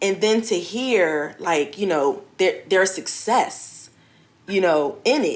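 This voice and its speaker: A woman's medium-pitched voice at a very slow pace. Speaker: life coach and clothing entrepreneur. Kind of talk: interview. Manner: soft-spoken.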